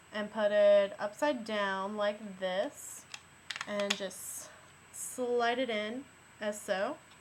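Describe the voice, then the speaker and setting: Long, frequent pauses break up speech with ordinary pitch variation, heard over noticeable background noise. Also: woman. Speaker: film teacher. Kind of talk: how-to tutorial talk to camera. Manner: teacher-like, instructive.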